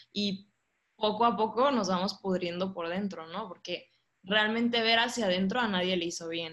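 A woman's medium-pitched, normal speaking voice at a moderate pace with ordinary pitch variation. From Monterrey, northern Mexico. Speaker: church member sharing testimony. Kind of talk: testimony.

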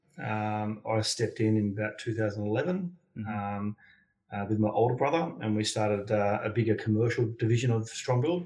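A man with an Australian accent speaks at a moderate pace in a fairly low, somewhat breathy voice of dark, mellow tone with ordinary pitch variation. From Sydney, Australia. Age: 40s. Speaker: building consultant and men's mentor. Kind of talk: interview.

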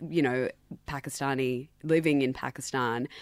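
A woman with an Australian accent, a very deep, low pitch, fairly even intonation and a moderate pace, on a very clean recording with a silent background. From Sydney, Australia. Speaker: radio station managing director. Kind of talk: radio interview. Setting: radio studio.

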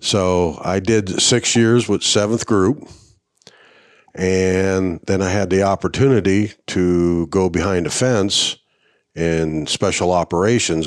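Very deep, low pitch from a man, recorded very cleanly against a silent background. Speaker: retired army veteran and coonhound breed association officer. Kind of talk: casual interview conversation. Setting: on site at a hunting event.

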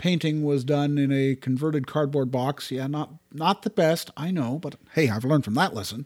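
A normal speaking voice with a Canadian accent, ordinary pitch variation and a moderate pace, on a very clean recording with a silent background. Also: man. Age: 60s. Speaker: podcast co-host. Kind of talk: casual chat. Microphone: new high-end microphone.

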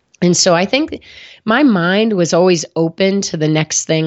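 With lively intonation, a woman speaks at a moderate pace in a fairly low pitch. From US Midwest. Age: 40s. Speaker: sportswear company founder and former professional triathlete. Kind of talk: casual chat.

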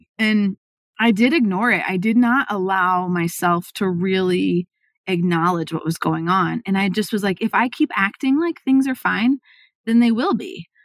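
A plain, everyday voice from a woman, medium in pitch, with ordinary pitch variation, a moderate pace, and a dry, close sound with no echo. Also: very clean recording, silent background. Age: 40s. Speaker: marketing agency CEO. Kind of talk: interview conversation.

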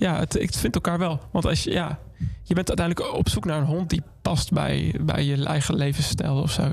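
There is noticeable background noise as a man talks at a moderate pace. His voice is fairly high, with fairly even intonation. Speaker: musician. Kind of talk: casual interview. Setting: studio.

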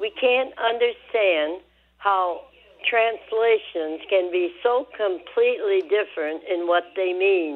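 A woman's very slow speech in an American accent, medium pitch with ordinary pitch variation. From US Midwest, Michigan. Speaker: caller. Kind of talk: phone-in question. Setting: phone call.

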